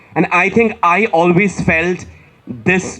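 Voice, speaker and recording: A man with a Bengali accent and a high pitch. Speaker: author. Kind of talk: panel discussion.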